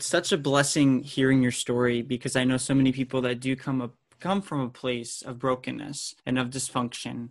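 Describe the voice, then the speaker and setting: A man at medium pitch talks in a normal speaking voice at a moderate pace, with fairly even intonation, hardly any pauses and a quiet background. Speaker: podcast host. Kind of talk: interview conversation.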